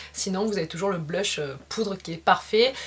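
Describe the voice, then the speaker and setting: A woman talks fairly slowly, her medium-pitched voice showing ordinary pitch variation. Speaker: beauty vlogger. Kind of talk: makeup tutorial. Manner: halting, many filler sounds.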